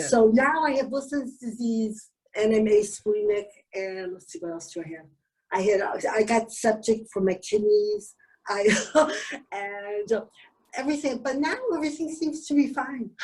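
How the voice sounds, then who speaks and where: With lively intonation and big swings in loudness, a woman speaks at a moderate pace in a fairly high, somewhat breathy voice, leaving long, frequent pauses. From Canada. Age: 70s. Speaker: Wilson's disease patient. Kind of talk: interview answer.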